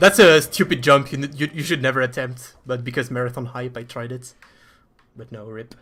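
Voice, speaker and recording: A man with a French accent, bright and sharp in tone, medium in pitch, at a fairly quick pace, with ordinary pitch variation and big swings in loudness. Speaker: speedrunner. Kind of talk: live gameplay commentary. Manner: halting.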